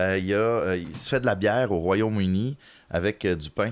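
The speaker talks in a Quebec accent with ordinary pitch variation. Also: man, very clean recording, silent background. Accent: Québécois French. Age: 30s. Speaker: comedian. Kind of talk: casual chat.

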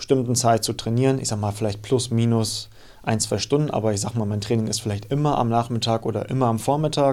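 A man's medium-pitched voice carries a dark, mellow tone and fairly even intonation. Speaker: fitness coach. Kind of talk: casual chat. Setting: studio. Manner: hesitant, many fillers.

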